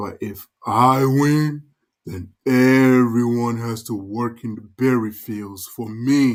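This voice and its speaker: The speech moves at a very slow pace. It comes in a put-on character voice. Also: man, medium pitch for a man. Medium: read story. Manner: gruff, overbearing.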